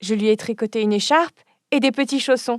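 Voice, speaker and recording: A female-sounding, put-on character voice runs at a fairly quick pace with a fairly high pitch. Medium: audio drama.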